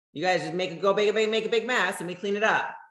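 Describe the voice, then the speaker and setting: A woman talks very fast in an animated tone. Room echo is audible. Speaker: network marketing leader. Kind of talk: motivational talk. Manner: loud.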